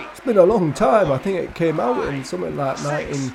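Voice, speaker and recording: A man speaks with a northern English accent and lively intonation. Noticeable background noise sits behind him. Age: 70s. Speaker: gaming youtuber. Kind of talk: casual chat. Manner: halting.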